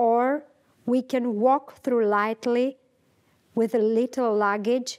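The speech is very slow with ordinary pitch variation, over a quiet background. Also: woman. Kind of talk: lecture. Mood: calm, thoughtful, hesitant. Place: home room. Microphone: lapel.

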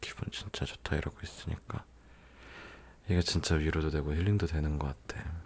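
A man speaks with a very deep, low pitch and a somewhat breathy voice. His intonation is fairly even, broken by long, frequent pauses. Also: fairly quick pace. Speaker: ASMR content creator. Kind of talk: ASMR roleplay, comforting boyfriend talking to the listener. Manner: soft, intimate, caring.

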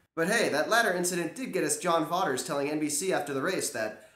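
A man talks at a fairly quick pace. The background is quiet, with audible room echo. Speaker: cycling news vlogger. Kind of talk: commentary. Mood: wry, sarcastic humor. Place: home room. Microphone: camera far.

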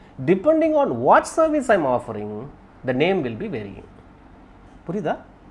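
A man's high voice moves through very wide pitch swings. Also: moderate pace. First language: Tamil. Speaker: networking instructor. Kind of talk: lecture. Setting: video call.

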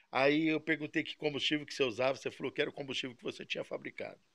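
This is a man's voice. His pitch is fairly high. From Brazil. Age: 60s. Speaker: model engine mechanic. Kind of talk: casual video talk answering viewers. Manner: halting, repeats words. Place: workshop.

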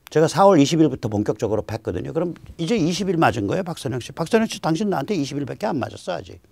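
Against a quiet background, a man talks at a very fast pace with hardly any pauses and vocal fry. His fairly high pitch swings very widely, and his loudness shifts a lot. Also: dry sound with no echo. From South Korea. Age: 60s. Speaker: political commentator. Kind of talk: lecture. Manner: animated. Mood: wry, teasing. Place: studio.

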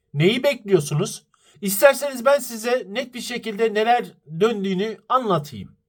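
Speaking at a fairly slow pace, a man with a high pitch uses an animated tone and ordinary pitch variation. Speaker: football commentary YouTuber. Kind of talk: fan opinion monologue.

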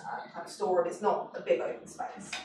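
A woman speaks at a fairly quick pace with a fairly low pitch and a dark, mellow tone. There is little pitch movement, and audible room echo can be heard.

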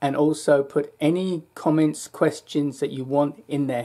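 This is a man speaking. His tone is dark and mellow. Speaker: health vlogger. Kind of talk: casual vlog chat. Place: home room. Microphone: webcam.

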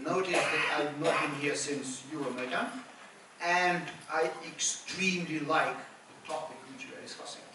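The voice moves at a moderate pace, with audible room echo and noticeable background noise. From Ukraine. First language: Ukrainian or Russian. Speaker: civil society activist and former government official. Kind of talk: panel discussion. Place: hall. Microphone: camera far.

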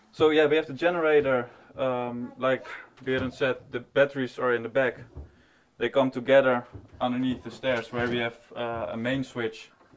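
A man speaks at a moderate pace. His intonation is monotone and flat. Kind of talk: interview answer. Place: boat. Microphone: lapel.

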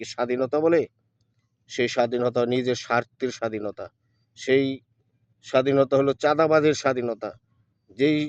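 Medium pitch for a man, monotone and flat, in a dry, close sound with no echo. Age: 40s. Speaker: political video blogger. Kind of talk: political monologue to camera. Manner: halting, many pauses.

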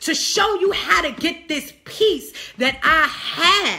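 An animated, raised and projected voice carries lively intonation. Music plays in the background. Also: woman. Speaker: online preacher. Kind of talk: sermon.

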